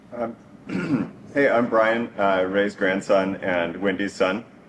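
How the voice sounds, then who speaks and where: Speaking with an American accent, a man keeps a fairly low pitch and fairly even intonation. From Northern California. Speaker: software engineer, grandson giving eulogy. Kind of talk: eulogy. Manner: hesitant, many fillers.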